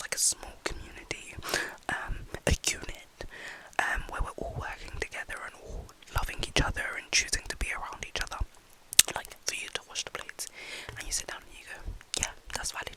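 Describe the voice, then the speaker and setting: Whispering at a fairly quick pace with long, frequent pauses, the voice comes through noticeable background noise. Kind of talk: ASMR rambling talk to camera. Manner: whispered.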